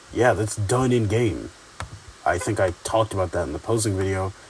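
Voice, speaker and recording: Noticeable background noise behind speech at a fairly slow pace. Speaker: YouTube tutorial creator. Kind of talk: tutorial. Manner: halting, stuttering; casual, many filler words.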